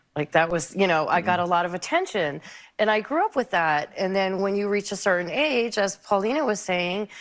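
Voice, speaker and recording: Lively intonation and a fairly quick pace mark an unremarkable speaking voice. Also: woman, medium pitch for a woman. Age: 60s. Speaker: talk show guest. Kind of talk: talk show conversation.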